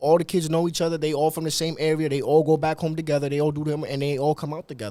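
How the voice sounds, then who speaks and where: Talking at a very fast pace with hardly any pauses, a man with a fairly high pitch and a dark, mellow tone keeps a flat, monotone intonation. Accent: American. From Dominican Republic. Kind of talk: casual chat.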